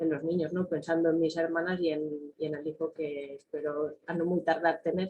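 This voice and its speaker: A woman speaks at a fairly low pitch with a monotone, flat delivery. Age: 30s. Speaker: nurse. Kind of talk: panel testimony.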